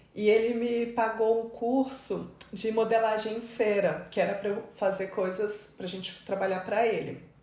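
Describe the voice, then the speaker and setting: Amid noticeable background noise and audible room echo, a woman with a fairly high pitch talks at a moderate pace. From Brazil, Mato Grosso do Sul. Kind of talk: interview conversation.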